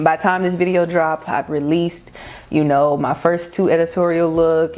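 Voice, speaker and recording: Noticeable background noise accompanies a woman with an American accent. Her pitch is very deep and low, and she keeps a moderate pace. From Texas, Houston area. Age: 20s. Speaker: fashion blogger and influencer. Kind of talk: casual vlog talk to camera.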